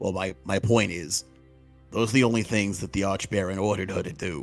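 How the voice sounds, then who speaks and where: A man's raspy put-on character voice, fairly low in pitch and fairly quick, with faint music in the background. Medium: actual play. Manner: casual, cocky, blunt.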